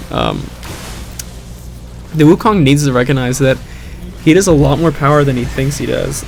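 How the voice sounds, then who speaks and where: Over background music and audible room echo, a man with a fairly high pitch talks at a moderate pace with long, frequent pauses. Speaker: gaming commentator. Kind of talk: post-game voiceover commentary. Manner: monotone; hesitant, many fillers.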